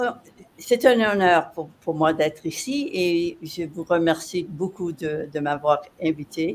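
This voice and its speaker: Her pitch sits fairly low for a woman, with ordinary variation, as she speaks at a very slow pace. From French Canada (Quebec). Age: 70s. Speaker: entrepreneur and coach. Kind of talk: podcast interview. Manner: halting, repeats words.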